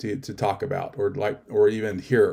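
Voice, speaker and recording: This man's tone is dark and mellow. He talks at a medium pitch. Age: 50s. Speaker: panel moderator. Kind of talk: panel discussion. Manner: halting.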